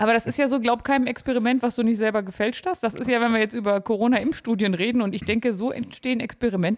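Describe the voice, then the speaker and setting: A woman's fairly high-pitched voice at a very fast pace. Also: ordinary pitch variation, hardly any pauses. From Harz, Germany. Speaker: podcast guest. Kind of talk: casual chat.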